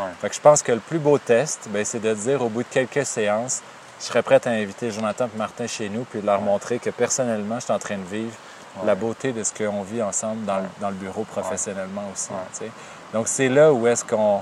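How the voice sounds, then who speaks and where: Over noticeable background noise, a man speaks at a fairly quick pace with fairly low pitch and fairly even intonation. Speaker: therapist and podcast co-host. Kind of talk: casual chat.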